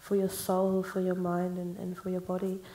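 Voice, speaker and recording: The speaker is a woman whose voice is at a medium pitch. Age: 20s. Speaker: songwriter. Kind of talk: panel discussion.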